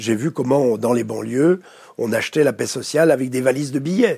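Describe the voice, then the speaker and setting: A man speaks at a moderate pace with a dark, mellow tone and lively intonation. The recording is very clean, with a silent background. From France. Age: 70s. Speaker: conflict mediator. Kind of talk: interview. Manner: halting, many repetitions.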